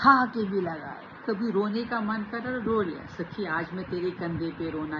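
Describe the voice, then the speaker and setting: Noticeable background noise and audible room echo fill the clip. A woman with a medium pitch speaks with lively intonation. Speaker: self-help vlogger. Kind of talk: motivational talk to camera.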